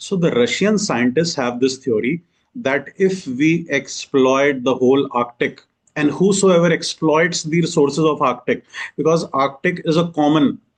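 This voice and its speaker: With an Indian accent, a man speaks at a fairly slow pace and a fairly high pitch with ordinary pitch variation. His loudness stays very even. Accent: Indian English, Hindi-speaking. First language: Hindi. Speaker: exam coaching teacher. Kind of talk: lecture. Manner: code-switching Hindi and English.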